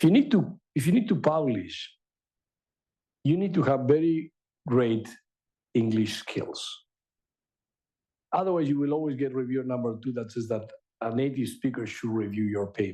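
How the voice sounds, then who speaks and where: A man's medium-pitched voice, dark and mellow, with lively intonation, a moderate pace, and long, frequent pauses. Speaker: AI researcher and author. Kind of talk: lecture.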